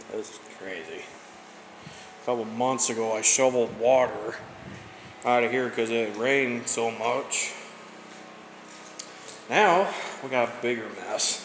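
Audible room echo surrounds a man's voice, with light background noise. He keeps his intonation fairly even. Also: fairly slow pace. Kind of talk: casual vlog chat. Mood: dismayed, resigned. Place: empty room. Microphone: phone near.

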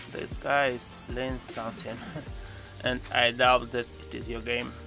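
At a fairly slow pace, a man talks at a medium pitch, the sound dry with no echo and faint music playing in the background. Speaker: gaming YouTuber. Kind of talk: game commentary voice-over. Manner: sarcastic, joking. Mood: wry, sarcastic. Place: home room. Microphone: studio mic.

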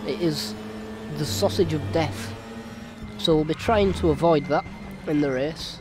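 Music plays in the background as a man with a fairly high voice speaks fairly slowly. He leaves long, frequent pauses and makes very wide pitch swings. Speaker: sim racing video creator. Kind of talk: gameplay commentary.

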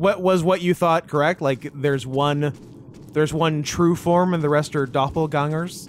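An unremarkable speaking voice moves at a moderate pace, with very even loudness and fairly even intonation. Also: man, fairly high pitch for a man. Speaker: gaming streamer. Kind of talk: casual chat.

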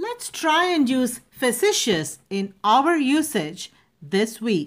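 This woman talks at a very slow pace with a non-native accent. Her high-pitched voice makes very wide pitch swings. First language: not English. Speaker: speech and public speaking coach. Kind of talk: educational vocabulary lesson to camera. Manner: clear, careful pronunciation.

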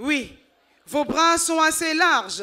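A woman's high-pitched, raised and projected voice, bright and sharp in tone, at a very slow pace. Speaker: women's group spokesperson. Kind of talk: ceremonial speech. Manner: emphatic.

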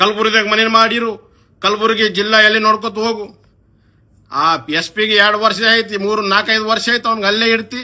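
A man's raised, projected voice sits high in pitch, with a bright, sharp tone and monotone, flat intonation. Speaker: local politician. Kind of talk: political rant video. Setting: Facebook live video. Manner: heated, confrontational.

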